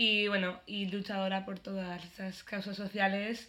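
Medium pitch and a bright, sharp tone in a woman's voice. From Spain. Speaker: podcast co-host. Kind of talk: casual chat.

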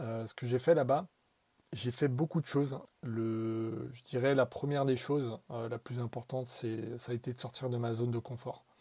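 The voice is somewhat breathy with a dark, mellow tone, moving at a moderate pace with fairly even intonation but big swings in loudness. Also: man, medium pitch for a man. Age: 20s. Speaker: marketing professional. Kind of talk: recorded voice message testimony.

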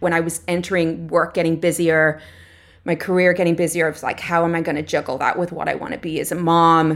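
Flat and monotone, a woman with a fairly low pitch speaks at a very fast pace. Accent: Irish. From Ireland. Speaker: artist. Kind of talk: interview.

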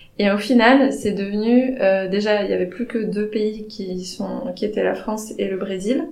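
There is audible room echo and noticeable background noise as a woman speaks in a fairly high pitch with fairly even intonation. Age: 30s. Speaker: anthropologist, recent PhD graduate. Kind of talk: interview. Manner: halting, many hesitations.

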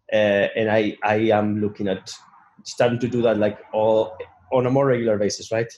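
A man's fairly low, monotone voice with flat intonation, a Spanish accent, and a moderate pace. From Asturias, Spain. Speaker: business consultant. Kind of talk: interview. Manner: hesitant, repeats words.

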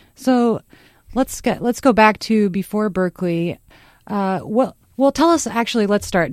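A woman with an ordinary speaking voice talks with lively intonation in a very clean recording with a silent background. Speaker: radio talk show host. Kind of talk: radio dj patter, upbeat station ids and show intros. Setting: radio studio. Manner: bright, polished, conversational, fast-flowing, bantering.

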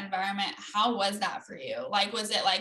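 With an American accent and a plain, everyday voice, a woman with a fairly high pitch speaks at a moderate pace. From Oregon. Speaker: podcast co-host, soccer player. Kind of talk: casual interview.

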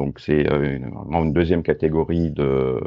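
The man speaks with ordinary pitch variation. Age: 50s. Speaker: entrepreneur and data protection consultant. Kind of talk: interview.

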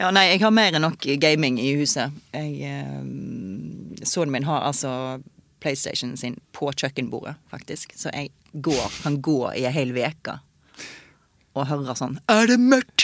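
A woman talks at a very slow pace with a very deep, low pitch and vocal fry. Her intonation is lively. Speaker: actress. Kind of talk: casual chat.

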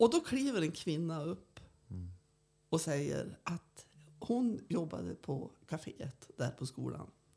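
A woman with a very deep, low, dark and mellow voice and vocal fry speaks at a very slow pace. Her pitch swings very widely, and she leaves long, frequent pauses. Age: 70s. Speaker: archaeologist and tour guide. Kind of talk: casual interview.

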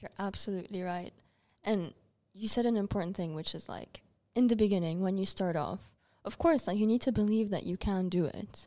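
A woman with a medium pitch talks at a fairly quick pace, using ordinary pitch variation and a dark, mellow tone. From Dubai, Lebanese family. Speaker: podcast co-host, writer. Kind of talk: casual chat.

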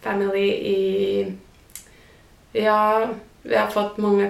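Audible room echo follows a woman who speaks at a very slow pace. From southern Finland, near Turku. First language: Finnish (speaking Swedish). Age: 30s. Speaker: podcast guest. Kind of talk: casual interview. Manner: halting, with fillers; mixes in English words.

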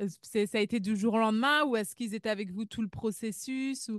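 A woman talks in an ordinary speaking voice, fairly high in pitch with normal variation. The sound is dry and close with no echo, over a quiet background. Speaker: immigration consultant and podcast host. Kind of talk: casual interview.

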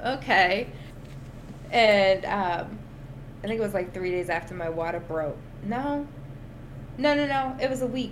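In a room with audible echo, a woman at medium pitch uses lively intonation at a fairly slow pace with long, frequent pauses. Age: 30s. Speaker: podcast host and NICU mom. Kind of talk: personal testimony in casual chat. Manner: animated.

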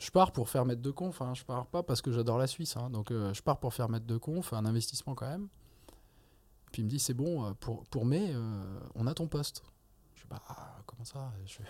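A man at medium pitch, lively in intonation, at a moderate pace with long, frequent pauses. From France. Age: 30s. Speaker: neurosurgeon and anatomy lecturer. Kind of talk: casual interview.

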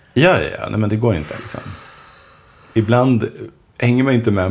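A man talks at a fairly quick pace in a medium pitch over noticeable background noise. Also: long, frequent pauses. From Swedish mill town. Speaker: author. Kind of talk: casual chat.

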